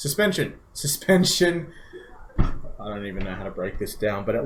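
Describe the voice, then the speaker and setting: Audible room echo surrounds a fairly quick voice in an Australian accent whose pitch swings very widely. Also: man. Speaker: car enthusiast podcast co-host. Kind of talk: casual chat. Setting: live stream.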